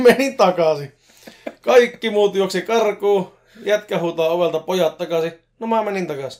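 This man's voice sits high in pitch, moves with ordinary pitch variation and keeps a fairly slow pace. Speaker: podcast co-host. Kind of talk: casual chat. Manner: talkative.

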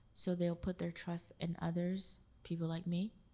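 This woman's voice sits fairly low in pitch and is somewhat breathy. She keeps a moderate pace with monotone, flat intonation. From Haiti. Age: 20s. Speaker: event producer. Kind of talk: casual interview.

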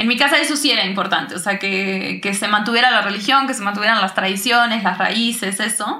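A woman's medium-pitched voice with ordinary pitch variation, a fairly quick pace and hardly any pauses, amid noticeable background noise and audible room echo. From Uruguay. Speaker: singer-songwriter. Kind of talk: casual interview chat.

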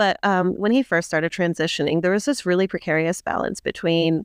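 A woman with a normal speaking voice talks at a medium pitch with ordinary variation, recorded with a dry, close sound and no echo. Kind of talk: casual interview.

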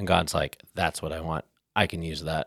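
Recorded very cleanly against a silent background, a man speaks at a moderate pace with a dry, close sound and no echo. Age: 30s. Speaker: podcast host, ministry. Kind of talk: casual chat, faith discussion.

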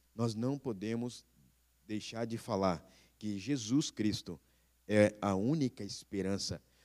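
At a very slow pace with long, frequent pauses, a man speaks at a fairly low pitch with ordinary variation, in a very clean recording with a silent background. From Brazil, interior of São Paulo state (Bauru). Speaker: missionary pastor. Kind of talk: sermon. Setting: church. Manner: halting, many fillers.

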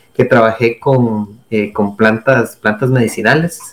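A man at a fairly slow pace and medium pitch. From Costa Rica. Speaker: forest engineer and researcher. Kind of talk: interview. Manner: halting, with many repetitions and fillers.

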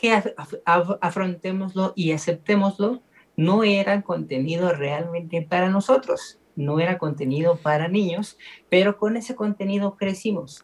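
A high-pitched man at a fairly slow pace, with ordinary pitch variation. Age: 30s. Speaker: film podcast host. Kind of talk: casual chat.

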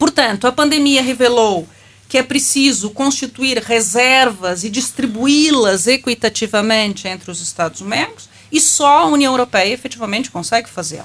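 The speaker is a woman with a high voice. Her delivery has lively intonation. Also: moderate pace. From Brazil. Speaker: law professor. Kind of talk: panel discussion.

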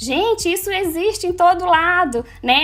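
A woman projects a raised voice with lively intonation. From Manaus, northern Brazil. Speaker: social media influencer. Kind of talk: casual interview.

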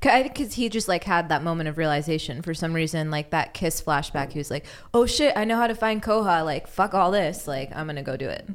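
A woman with a plain, everyday voice and an American accent, fairly low in pitch, talking at a fairly quick pace with lively intonation and hardly any pauses. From Los Angeles. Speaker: podcast intern and guest. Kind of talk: casual chat. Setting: studio.

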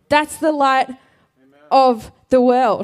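A woman speaks with an Australian accent. Her tone is dark and mellow, with fairly even intonation. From South Australia. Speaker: pastor. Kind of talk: sermon. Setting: church.

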